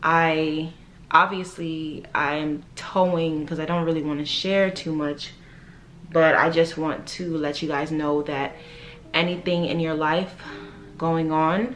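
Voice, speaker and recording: A woman speaks very slowly in a very deep, low voice with an American accent and flat, monotone intonation. The room echo is audible, and background noise is noticeable. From New York, the Bronx, Jamaican household. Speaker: lifestyle vlogger. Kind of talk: casual vlog monologue. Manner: casual, many fillers.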